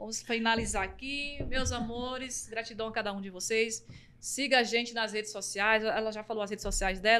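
A woman's animated voice at a moderate pace, with light background noise. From Bahia, Brazil. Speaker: podcast host and singer; podcast host. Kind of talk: casual chat; podcast host talk to the audience. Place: studio. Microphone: studio mic.

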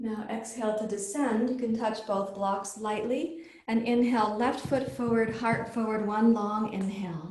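There is audible room echo, but the background is quiet. A woman speaks at a moderate pace with hardly any pauses and ordinary pitch variation. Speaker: yoga teacher. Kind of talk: guided yoga class, calling out poses and breath cues. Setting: live or online class, morning practice. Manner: clear, brisk, rhythmic instructional commands synced to breath; calm, encouraging, warm. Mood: calm, soothing. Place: home room. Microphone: camera far.

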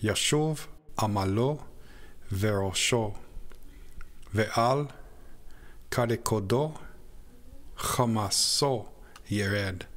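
In a room with audible echo, a man with a fairly low voice speaks at a very slow pace with long, frequent pauses. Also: ordinary pitch variation. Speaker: scripture narrator. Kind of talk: reading aloud.

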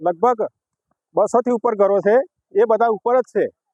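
The intonation stays fairly even in a dry, close recording with no echo. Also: man. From Gujarat, Aravalli district. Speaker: villager. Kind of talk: street interview.

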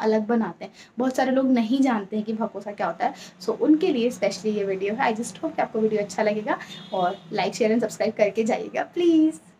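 A woman at a moderate pace with lively intonation, over light background noise. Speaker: cooking vlogger. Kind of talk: casual vlog chat. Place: kitchen. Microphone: phone near.

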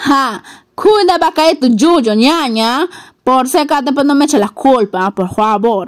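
Lively intonation at a fairly slow pace, with very even loudness against a quiet background. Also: woman, high pitch for a woman. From Peruvian Amazon, Yurimaguas, Loreto; Loreto, Peru. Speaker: video blogger. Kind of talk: casual vlog narration. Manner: animated. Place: garden. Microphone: phone near.

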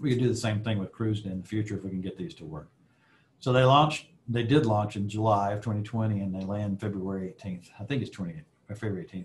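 Over light background noise, a man speaks at a fairly quick pace in a fairly low, somewhat breathy voice. His pitch variation is ordinary. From US South, Alabama. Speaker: aerospace executive; guest. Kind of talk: guest lecture with Q&A. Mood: relaxed, friendly. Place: office. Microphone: video call.

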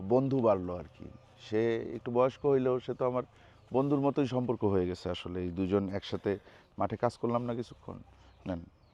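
A man's dark, mellow voice at a medium pitch, with ordinary pitch variation. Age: 30s. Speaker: travel and food vlogger. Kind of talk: casual vlog chat. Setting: outdoors in a vegetable field.

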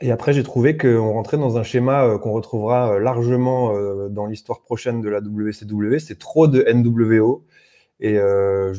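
A man talks at a fairly slow pace. His intonation is fairly even, and the background is quiet. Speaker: wrestling reviewer. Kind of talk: casual chat. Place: home room. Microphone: video call.

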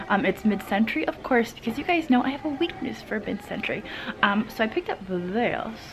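Fairly quick speech over clear music in the background. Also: woman. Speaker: vintage reseller vlogger. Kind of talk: casual vlog chat. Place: shop. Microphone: phone near.

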